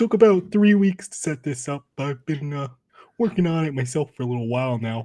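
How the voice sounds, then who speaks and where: Someone uses a put-on character voice at a low-to-middle pitch and a fairly quick pace. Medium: actual play. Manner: awkward, stammering, folksy.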